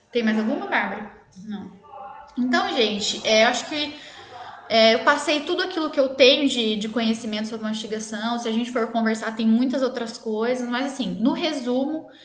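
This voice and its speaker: In a room with audible echo and noticeable background noise, a woman speaks at a fairly high pitch with ordinary pitch variation. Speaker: dentist. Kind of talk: live stream Q&A talk. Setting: live stream. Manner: fast.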